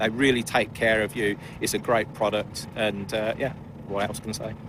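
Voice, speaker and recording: Speaking in a flat monotone at a moderate pace, a man with a fairly low pitch is heard against noticeable background noise. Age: 50s. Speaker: amateur racing driver. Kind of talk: paddock interview. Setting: race paddock. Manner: halting, many fillers.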